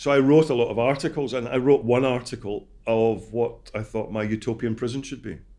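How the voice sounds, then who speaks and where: Over a silent background in a very clean recording, a man talks at a very fast pace in a dark, mellow tone. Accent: Scottish. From Scotland. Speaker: ex-prisoner and prison reform campaigner. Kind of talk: interview. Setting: studio.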